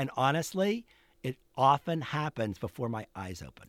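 A man with an American accent and very wide pitch swings, in a dry, close sound with no echo and a very clean recording over a silent background. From Pittsburgh, Pennsylvania. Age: 60s. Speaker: photographer. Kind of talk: interview conversation. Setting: studio.

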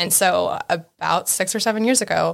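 This is a woman speaking. Her voice carries vocal fry. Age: 30s. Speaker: real estate business owner and Coast Guard veteran. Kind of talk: casual chat. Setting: studio.

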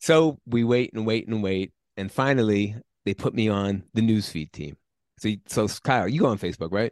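A man's fairly low voice with an American accent, moderate pace and ordinary pitch variation, dry and close with no echo against a quiet background. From New York. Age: 60s. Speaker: software engineer, former gym owner. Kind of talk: interview. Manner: talkative.

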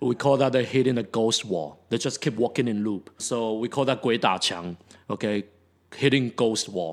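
The recording is very clean, with a silent background. A man with a plain, everyday voice speaks at a moderate pace, medium in pitch with ordinary pitch variation. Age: 40s. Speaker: teacher and podcast co-host. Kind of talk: casual chat.

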